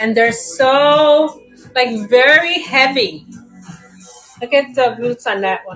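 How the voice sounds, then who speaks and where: A woman's high-pitched voice at a very slow pace, with lively intonation, big swings in loudness, long and frequent pauses, and music in the background. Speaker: live seller auctioning plants. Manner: casual, chatty.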